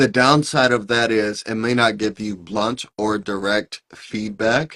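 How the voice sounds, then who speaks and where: A man with an American accent and medium pitch, in an ordinary speaking voice with fairly even intonation, the sound dry and close with no echo. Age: 30s. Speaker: AI consultant. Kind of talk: interview.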